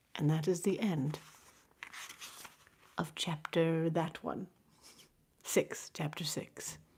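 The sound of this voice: Speaking slowly, a woman has a low voice with a husky, rough edge, a slightly mellow tone and fairly even intonation.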